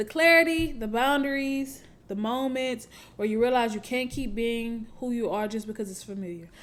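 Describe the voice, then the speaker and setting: This woman has an American accent and a fairly high pitch. She keeps a moderate pace with ordinary pitch variation. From Houston, Texas. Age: 20s. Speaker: podcast host. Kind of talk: casual monologue, reading notes. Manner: halting.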